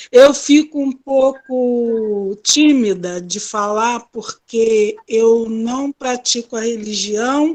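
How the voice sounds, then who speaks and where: A woman speaks at a very slow pace with hardly any pauses. Her pitch is fairly high, with ordinary variation. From Brazil, grew up in a favela. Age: 60s. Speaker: participant in reading circle. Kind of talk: comment in online reading discussion.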